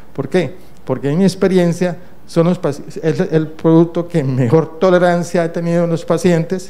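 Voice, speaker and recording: With a high pitch and fairly even intonation, a man speaks at a moderate pace in a space with audible room echo and noticeable background noise. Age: 60s. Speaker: internal medicine doctor and professor. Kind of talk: conference lecture. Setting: conference stage with audience.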